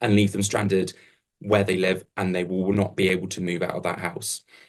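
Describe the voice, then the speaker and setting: Monotone, flat intonation carries speech delivered at a fairly quick pace. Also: man. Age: 20s. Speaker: local councillor. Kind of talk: political hustings answer.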